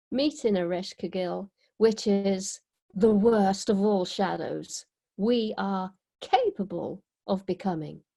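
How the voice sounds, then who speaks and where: Against a quiet background, a woman speaks very slowly in a dark, mellow tone at medium pitch, with ordinary pitch variation. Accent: British. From Britain. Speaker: mystic and author. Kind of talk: interview.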